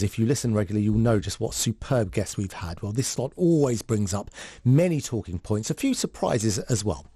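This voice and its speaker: A man's fairly low, dark, mellow voice, somewhat breathy, with lively intonation and a fairly quick pace. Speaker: radio presenter. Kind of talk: radio show hosting.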